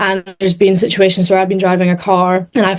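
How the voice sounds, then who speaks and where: A woman speaks with a Scottish accent. Her pitch sits in the medium range. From Scotland. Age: 20s. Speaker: racing driver. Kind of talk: interview.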